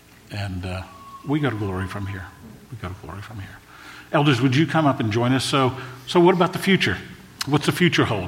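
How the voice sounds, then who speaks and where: A man with a medium pitch talks at a very fast pace, with very wide pitch swings and big jumps in loudness. He takes long, frequent pauses, and there is noticeable background noise. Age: 60s. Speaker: pastor. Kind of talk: sermon. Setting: church stage. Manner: emotional, prone to choking up.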